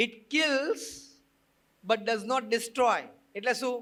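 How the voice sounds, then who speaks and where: A man speaks at an extremely high pitch in a bright, sharp tone. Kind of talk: religious discourse to an audience. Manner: mixes Gujarati with English phrases.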